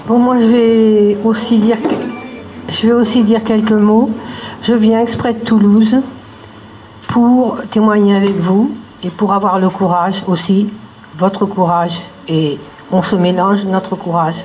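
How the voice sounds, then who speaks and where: Amid audible room echo and noticeable background noise, a woman speaks with fairly even intonation, very even loudness and long, frequent pauses. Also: medium pitch for a woman, fairly slow pace. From France. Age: 80s+. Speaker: retired teacher, rally speaker. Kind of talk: public speech at a rally.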